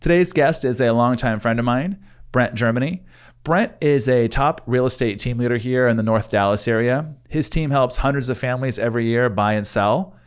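A man with a normal speaking voice talks at a moderate pace and medium pitch, with very even loudness and ordinary pitch variation, on a very clean recording with a silent background. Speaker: podcast host, real estate agent. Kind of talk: casual interview chat.

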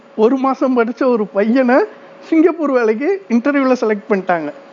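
A man speaks at an extremely high pitch with ordinary pitch variation. Noticeable background noise runs underneath. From southern Tamil Nadu, near Aruppukottai/Virudhunagar. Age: 40s. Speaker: migrant worker telling his life story. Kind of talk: personal storytelling monologue.

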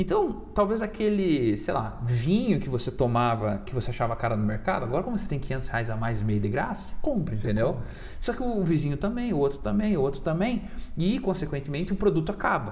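In a room with audible echo, a man with a fairly high pitch speaks at a fairly quick pace with very wide pitch swings. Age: 20s. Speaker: crypto investor. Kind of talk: casual chat. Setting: studio.

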